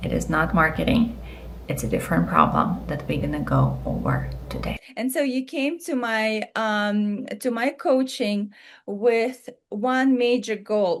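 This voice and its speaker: A fairly slow delivery in a non-native accent. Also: woman. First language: not English. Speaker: business coach. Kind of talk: coaching call. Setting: video call.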